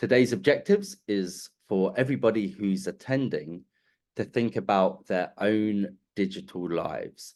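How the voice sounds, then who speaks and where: Against a quiet background, a man with a plain, everyday voice speaks at a fairly slow pace. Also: fairly low pitch for a man, lively intonation. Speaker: webinar presenter on digital legacy. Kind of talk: webinar presentation. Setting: online webinar.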